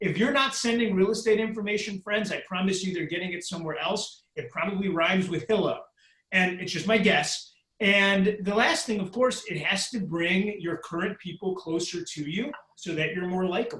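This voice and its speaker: High pitch marks this man's voice. His pitch moves in an ordinary way. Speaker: real estate tech speaker. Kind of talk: webinar Q&A. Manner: fast; animated.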